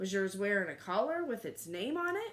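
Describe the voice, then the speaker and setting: A woman does a put-on character voice, fairly high in pitch and at a fairly quick pace. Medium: read story.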